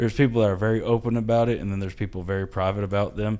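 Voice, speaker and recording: In a very clean recording with a silent background, the speaker talks at a very fast pace in a dark, mellow tone with fairly even intonation. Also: man. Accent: Southern US. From US South. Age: 30s. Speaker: comedian and IT specialist. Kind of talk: casual chat.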